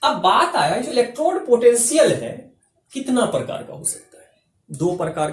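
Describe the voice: A man speaks at a moderate pace in an extremely high voice, his pitch swinging widely.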